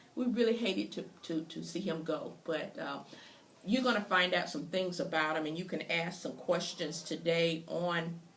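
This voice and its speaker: A woman with an American accent speaks at a moderate pace, her pitch fairly low and its variation ordinary. The room echo is audible, and there is noticeable background noise. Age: 60s. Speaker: interviewer. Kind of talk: interview introduction. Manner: halting.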